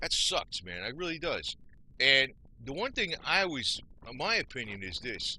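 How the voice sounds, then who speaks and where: A man with an American accent, a bright, sharp tone and vocal fry, at a fairly slow pace with long, frequent pauses. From New Jersey, US. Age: 60s. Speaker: vlogger. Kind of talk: casual monologue. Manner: rambling, conversational.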